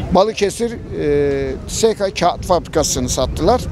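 High-pitched male voice with ordinary pitch variation, a dry sound with no echo and light background noise. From Turkey. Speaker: passer-by interviewee. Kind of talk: street interview. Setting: outdoors. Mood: critical, aggrieved about economy. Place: street. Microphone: handheld.

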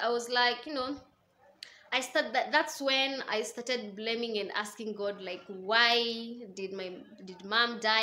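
The woman's tone is bright and sharp. She speaks at a fairly slow pace. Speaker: vlogger. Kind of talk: casual vlog storytelling. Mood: reflective, recounting painful past. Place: home room. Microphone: phone near.

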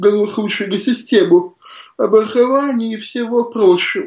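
A man's high-pitched voice. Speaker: science fiction writer. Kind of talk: radio interview.

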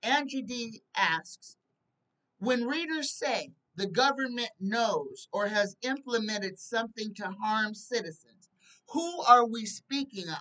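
A woman speaks at a very slow pace with lively intonation. Her tone is bright and sharp. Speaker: psychic tarot show host. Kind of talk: casual livestream commentary. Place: home room. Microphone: webcam.

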